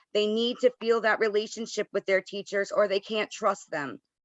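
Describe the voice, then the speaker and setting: A woman with a medium pitch and ordinary pitch variation has an ordinary speaking voice. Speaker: board of education member. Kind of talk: public meeting statement. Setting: video call.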